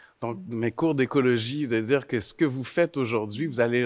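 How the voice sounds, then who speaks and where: At a fairly slow pace, a man speaks with medium pitch and ordinary pitch variation. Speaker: university chancellor, panelist. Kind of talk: panel discussion. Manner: clear diction.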